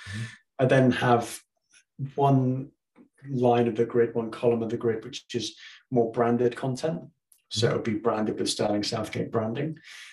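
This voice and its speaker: With long, frequent pauses, a man speaks at a moderate pace in a somewhat breathy, medium-pitched voice and a monotone, flat intonation. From southwest England. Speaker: mortgage broker. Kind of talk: casual chat.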